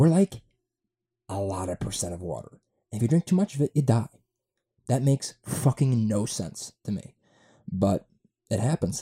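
Medium in pitch yet very wide in its swings, a man's somewhat breathy voice with a dark, mellow tone and an American accent moves at moderate pace with long, frequent pauses, recorded dry and close with no echo. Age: 20s. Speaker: podcast host. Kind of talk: casual monologue. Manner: halting, many fillers.

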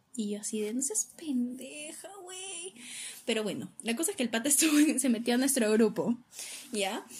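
Noticeable background noise sits behind a woman speaking at a moderate pace with lively intonation. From Peru. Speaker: podcast co-host, university student. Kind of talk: casual chat.

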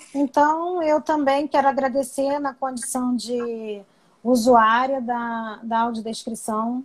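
With fairly even intonation, a woman speaks at a very slow pace in a high pitch. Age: 50s. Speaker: blind accessibility advocate, audio description user. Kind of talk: casual chat.

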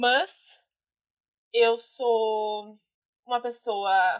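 The woman speaks at a fairly high pitch. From southern Brazil, Guaíba (Rio Grande do Sul). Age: 20s. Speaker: photographer and podcast guest. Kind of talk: casual chat. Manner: laughs often; animated.

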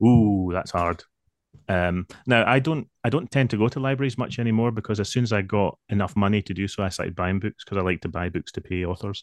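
With a Lothian accent, a man talks at a fairly quick pace in a fairly low pitch with ordinary pitch variation, over a quiet background. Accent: Scottish (Lothian). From Scotland, near Edinburgh. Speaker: novelist. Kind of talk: interview.

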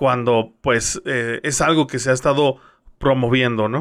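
In a very clean recording with a silent background, a man with a plain, everyday voice speaks at a moderate pace with fairly even intonation. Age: young. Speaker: radio news co-host. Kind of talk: casual news chat.

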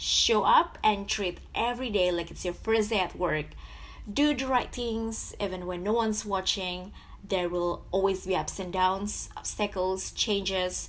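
A woman talks at a fairly slow pace with vocal fry. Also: medium pitch for a woman, ordinary pitch variation. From Indonesia, Jakarta. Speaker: podcast host. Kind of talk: solo podcast monologue.

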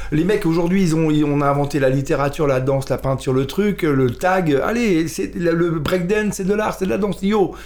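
Talking at a moderate pace with hardly any pauses, a man uses a high pitch and ordinary pitch variation. His loudness stays very even over noticeable background noise. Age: 50s. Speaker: musician and photographer. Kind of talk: casual chat.

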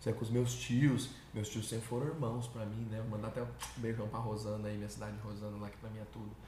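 Amid noticeable background noise and audible room echo, a man of medium pitch talks at a very fast pace. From São Paulo state, Brazil (Suzano). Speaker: country singer. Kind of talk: interview. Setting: studio. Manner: animated.

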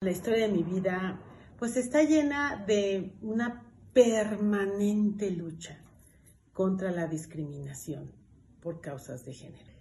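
A woman speaks at a very slow pace with lively intonation and big swings in loudness. Room echo is audible. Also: medium pitch for a woman. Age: 50s. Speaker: energy sector consultant. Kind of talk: interview.

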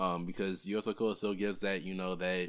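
On a very clean recording with a silent background, a man's very deep, low voice stays in a flat monotone. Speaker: podcast co-host. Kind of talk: casual chat.

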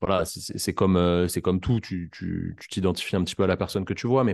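A man speaks in an ordinary speaking voice, fairly low in pitch with ordinary pitch variation. The background is quiet. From Paris region, France. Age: 20s. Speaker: physiotherapist. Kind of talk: casual interview.

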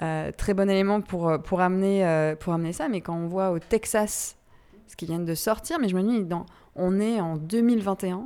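Dark and mellow in tone, the voice moves at a fairly slow pace with ordinary pitch variation and big swings in loudness. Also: woman, medium pitch for a woman. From Brittany, France. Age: 30s. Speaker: podcast host, founder of a women's empowerment association. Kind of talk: casual conversation / interview. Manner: halting, many hesitations and repetitions.

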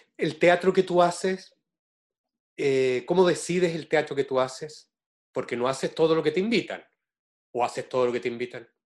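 In a Chilean accent, a man speaks at a moderate pace with long, frequent pauses. His pitch is fairly high for a man, with ordinary variation. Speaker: interviewer, theatre director. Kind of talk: interview conversation.

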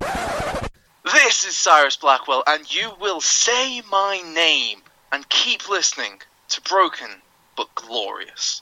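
Putting on a character voice, a man talks slowly with a bright, sharp tone, a fairly high pitch and very wide pitch swings.

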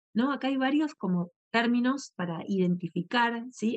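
Captured in a dry, close sound with no echo, a woman speaks with ordinary pitch variation. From Argentina. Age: 40s. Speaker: podcast host, yoga and meditation teacher. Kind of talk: casual talk and guided meditation. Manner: halting; calm, soothing.

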